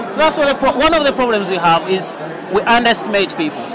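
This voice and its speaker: The man's pitch is extremely high. He talks at a fairly quick pace over noticeable background noise. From Uganda. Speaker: solar traffic light manufacturer. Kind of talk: interview. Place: hall. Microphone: lapel.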